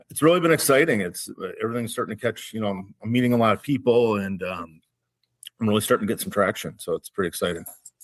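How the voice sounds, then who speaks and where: A man speaks very fast at a medium pitch. His intonation is lively, with a slight Minnesotan accent. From Minnesota, Minneapolis-Saint Paul area. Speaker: wine educator and small business owner. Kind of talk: casual interview.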